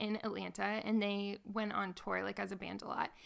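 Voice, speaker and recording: A plain, everyday voice from a woman with an American accent, fairly high in pitch, with fairly even intonation at a moderate pace. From Nashville, Tennessee, US South. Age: 20s. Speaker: musician. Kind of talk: casual interview, personal testimony. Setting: lying on the floor of a basement.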